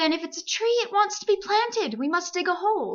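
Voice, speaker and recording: A woman puts on a squeaky character voice at an extremely high pitch. She talks at a fairly quick pace. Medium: read story. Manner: measured, mildly pompous.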